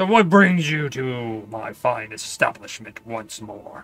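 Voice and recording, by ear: A man puts on a character voice at a medium pitch, speaking at a fairly slow pace. His intonation is lively, and his loudness swings widely.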